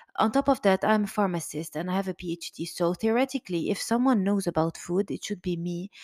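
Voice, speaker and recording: A woman of medium pitch talks at a very fast pace with hardly any pauses. Her pitch varies in an ordinary way, and the sound is dry and close with no echo. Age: 30s. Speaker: podcast host and emotional eating coach. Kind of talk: monologue book summary. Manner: halting, many fillers.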